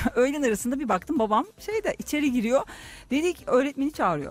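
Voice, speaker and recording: This woman has a high pitch and an animated tone. She talks at a fairly quick pace. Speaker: radio host and astrologer. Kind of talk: casual chat. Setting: studio.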